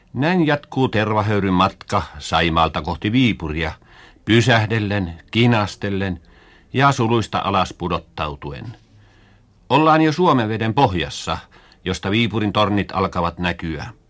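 Very slow and fairly low, a man's voice carries lively intonation on a very clean recording with a silent background. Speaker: school radio narrator. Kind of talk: 1950s school radio broadcast, scripted educational narration. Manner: formal, measured, earnest, didactic; plain old-fashioned radio diction, stagey when role-playing with children.

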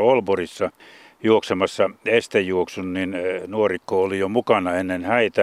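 In a normal speaking voice, a man talks at a fairly slow pace with fairly even intonation. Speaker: sports radio presenter. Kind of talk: casual radio chat, documentary presenter. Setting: outdoors at a cemetery.

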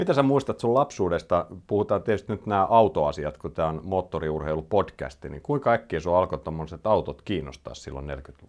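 Talking at a fairly quick pace with hardly any pauses, a man with a very deep, low voice and vocal fry swings very widely in pitch and shows big swings in loudness. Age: 40s. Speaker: podcast host, rally journalist. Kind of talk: casual interview.

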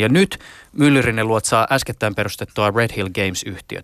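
At a fairly quick pace, a man speaks at a medium pitch with ordinary pitch variation and a normal speaking voice. The sound is dry and close with no echo, a very clean recording with a silent background. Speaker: radio host. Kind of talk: interview; scripted narration.

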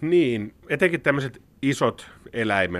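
A man speaks with a bright, sharp tone and ordinary pitch variation. The background is quiet. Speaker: biology professor. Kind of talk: interview. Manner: hesitant, repeats words.

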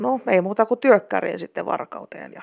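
The background is silent and the recording very clean. Words come at a moderate pace. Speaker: blind translator. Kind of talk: interview.

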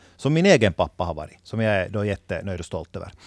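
This man's voice sits fairly low. The sound is dry and close with no echo, on a very clean recording with a silent background. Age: 30s. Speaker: new father. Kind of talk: casual chat.

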